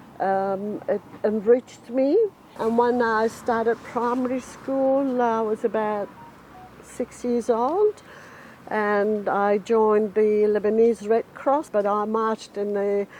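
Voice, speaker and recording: Amid noticeable background noise, a woman speaks very slowly at a fairly high pitch with monotone, flat intonation. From Lebanon. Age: 60s. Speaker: volunteer newspaper editor. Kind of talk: interview testimony.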